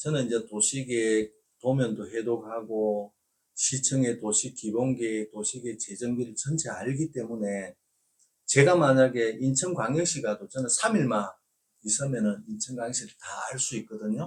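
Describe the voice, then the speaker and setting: In a Gyeongsang accent, a man speaks at a moderate pace and a medium pitch. His pitch variation is ordinary. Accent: Korean regional dialect (Gyeongsang). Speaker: real estate agent. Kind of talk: informal video lecture. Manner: hesitant with filler sounds.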